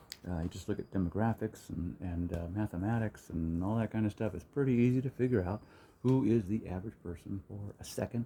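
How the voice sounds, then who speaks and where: This man has an American accent, a fairly low pitch, and a dark, mellow tone that is somewhat breathy. He talks at a fairly quick pace with lively intonation. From US, Hilliard. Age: 60s. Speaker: vlogger. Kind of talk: casual monologue. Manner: halting.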